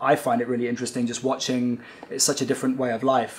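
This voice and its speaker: A man with a British accent at medium pitch, fairly quick pace and monotone, flat intonation, over noticeable background noise. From UK. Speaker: film director. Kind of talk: interview. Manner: halting, many fillers.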